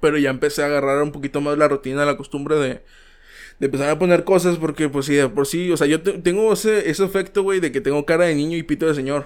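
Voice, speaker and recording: Talking at a very fast pace with hardly any pauses, a man has a fairly high pitch. The recording is very clean with a silent background. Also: ordinary pitch variation. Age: 20s. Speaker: podcast host. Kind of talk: casual chat. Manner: animated.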